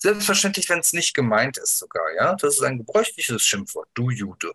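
A man's bright, sharp tone with very wide pitch swings at a moderate pace, in a dry, close sound with no echo. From Germany, Bergisches Land (Wuppertal). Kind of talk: interview. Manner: halting, many fillers and restarts.

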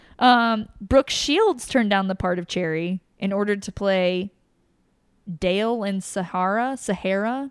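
A woman with a normal speaking voice talks at a fairly slow pace, her medium pitch showing ordinary variation. The recording is very clean and dry, close with no echo, against a silent background. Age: 30s. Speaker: podcast host. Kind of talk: casual chat.

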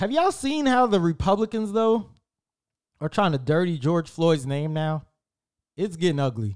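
Over a very clean recording with a silent background, a man talks at a fairly quick pace with lively intonation. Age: 30s. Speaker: podcast host. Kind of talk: casual solo talk.

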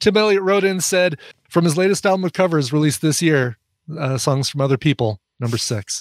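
Pitched fairly high, a man talks at a fairly quick pace in a normal speaking voice with lively intonation, the sound dry and close with no echo. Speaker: co-host. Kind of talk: casual comedic chat.

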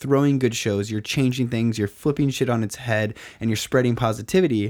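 A man talks at a fairly quick pace in a medium-pitched voice with ordinary pitch variation. It is an ordinary speaking voice, in a very clean recording with a silent background. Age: 20s. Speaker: podcast host. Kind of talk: casual interview chat. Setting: studio.

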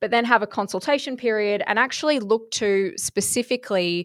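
A woman with an Australian accent speaks at a fairly quick pace with ordinary pitch variation. The recording is very clean with a silent background, and the sound is dry and close with no echo. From southeast Queensland, Australia. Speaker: farmer and agriculture network chair. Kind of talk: interview.

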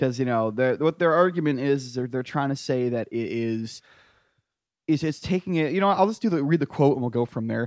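A man with an unremarkable speaking voice and an American accent talks fairly quickly at a fairly high pitch with ordinary variation, the sound dry and close with no echo against a quiet background. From rural US. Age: 30s. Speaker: podcast co-host. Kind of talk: casual comedic debate chat.

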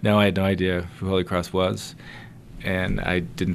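Against a silent background on a very clean recording, a man with an American accent speaks at a very deep, low pitch with vocal fry and fairly even intonation. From US East Coast (Connecticut, New Jersey). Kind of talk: casual interview.

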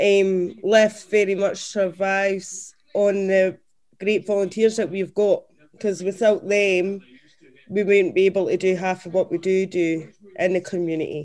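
A woman with a southern Scottish accent, medium pitch and monotone, flat intonation. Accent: southern Scottish (Dumfries). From Scotland, Dumfries. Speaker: community organisation finance director. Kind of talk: casual interview.

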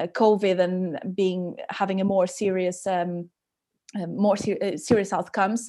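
Over a silent background in a very clean recording, a woman speaks at a medium pitch in a dark, mellow tone with monotone, flat intonation. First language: Portuguese. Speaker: podcast host and dietitian. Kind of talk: interview conversation. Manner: halting.

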